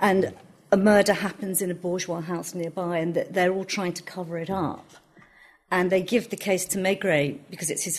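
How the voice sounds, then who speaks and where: Here is a woman with an unremarkable speaking voice at medium pitch. She keeps a moderate pace and fairly even intonation. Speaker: translator. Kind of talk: panel discussion.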